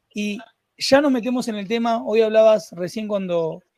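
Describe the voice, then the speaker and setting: A man with a Rioplatense accent, speaking at a fairly slow pace with ordinary pitch variation. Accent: Argentine Spanish (rioplatense). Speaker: podcast host. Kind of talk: interview conversation. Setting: live stream. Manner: animated.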